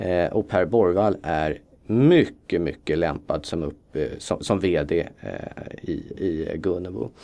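A very slow, very deep, low male voice with ordinary pitch variation. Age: 40s. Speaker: fund manager. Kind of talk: interview.

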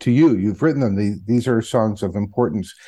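A man's medium-pitched, dark, mellow voice with an American accent and lively intonation. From United States. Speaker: radio show and podcast host. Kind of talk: interview.

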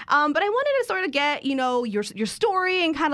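A woman with an American accent at a very fast pace, very wide pitch swings and noticeable background noise. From Chicago, Midway area. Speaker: podcast host. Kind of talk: casual interview chat.

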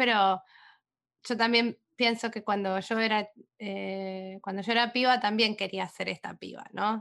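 A woman's fairly high, monotone, flat voice at a fairly slow pace, big swings in loudness, quiet background. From Argentina. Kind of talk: casual literary discussion.

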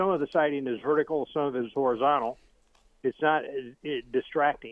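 A man has an ordinary speaking voice with an American accent. He talks at a fairly quick pace. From US South. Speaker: caller. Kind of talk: casual chat. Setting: phone call.

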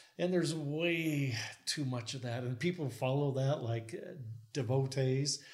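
A man's medium-pitched voice with ordinary pitch variation, a fairly slow pace and audible room echo. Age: 60s. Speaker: structural engineer. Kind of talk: casual chat. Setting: guest's home.

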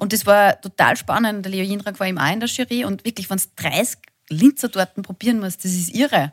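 A somewhat breathy woman's voice at medium pitch, fairly quick in pace, with ordinary pitch variation and a dry, close sound with no echo. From Linz, Upper Austria. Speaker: TV presenter. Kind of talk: casual chat.

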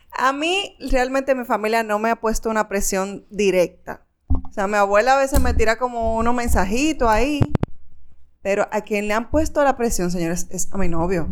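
Noticeable background noise sits behind a woman's fairly high pitch. She speaks at a moderate pace with ordinary pitch variation. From La Vega, Dominican Republic. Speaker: podcast co-host. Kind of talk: casual chat.

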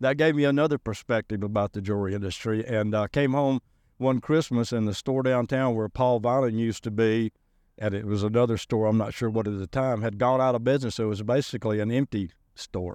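Someone talks at a very fast pace with a Southern US accent and fairly even intonation. The sound is dry and close with no echo, over a quiet background. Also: man, medium pitch for a man. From Alabama, US South.

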